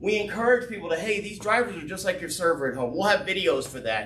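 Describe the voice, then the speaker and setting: A man with a Texas accent, high in pitch, with an animated tone and lively intonation, amid audible room echo and noticeable background noise. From Texas, Fort Worth. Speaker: business owner presenting an opportunity. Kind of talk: business presentation with Q&A. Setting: live event with audience, streamed on Zoom and Facebook. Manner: fast.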